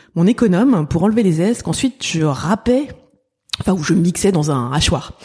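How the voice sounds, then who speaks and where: Somewhat breathy and dark, mellow in tone, a woman talks at a fairly quick pace with lively intonation. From Paris (19th arrondissement). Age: 50s. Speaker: pastry entrepreneur. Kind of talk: interview.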